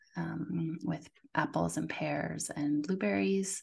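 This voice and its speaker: This woman has a very deep, low pitch and vocal fry, speaking at a very slow pace. The background is quiet. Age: middle-aged. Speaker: naturopathic doctor. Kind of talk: interview.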